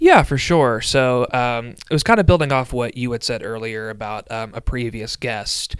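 A man with an American accent and a normal speaking voice talks at a medium pitch and a fairly slow pace. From middle Tennessee, US South. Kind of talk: interview conversation on theology.

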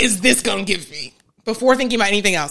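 A woman's fairly high-pitched voice. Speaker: marriage and family therapist hosting advice podcast. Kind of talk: live Q&A advice session. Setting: live stream on Instagram. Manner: fast.

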